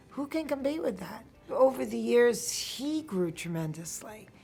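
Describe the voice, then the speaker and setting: Music plays in the background as a woman speaks with a New York accent. Her pitch swings very widely. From Queens, New York. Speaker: actress, comedienne. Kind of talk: interview answer.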